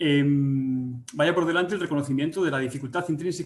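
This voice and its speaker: This man talks at a moderate pace. The rise and fall of his pitch is ordinary. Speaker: agricultural economics researcher. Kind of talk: webinar presentation. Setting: online webinar. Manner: hesitant, many fillers and restarts.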